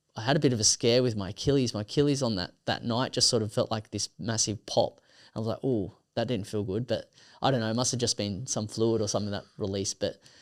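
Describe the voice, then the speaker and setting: Against a silent background in a very clean recording, a man speaks very fast at a medium pitch with ordinary pitch variation. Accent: Australian. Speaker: ultramarathon runner. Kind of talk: casual interview chat. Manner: halting, many fillers.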